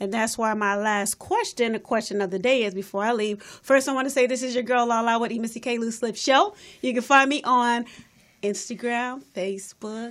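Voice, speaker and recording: Her pitch sits fairly high as the woman talks along at a moderate pace. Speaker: radio host. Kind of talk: casual chat. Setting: studio. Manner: animated.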